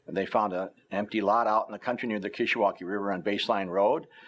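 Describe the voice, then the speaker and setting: In a US Midwestern accent, a man with a fairly low pitch talks at a fairly quick pace. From northern Illinois, US Midwest. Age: 70s. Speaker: retired local journalist. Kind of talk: oral history interview. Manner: hesitant, many filler words.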